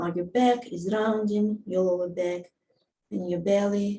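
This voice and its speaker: In a non-native accent, a woman speaks calmly at a medium pitch, her voice somewhat breathy with a dark, mellow tone. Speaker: movement teacher. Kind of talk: guided movement instruction. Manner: slow, calm.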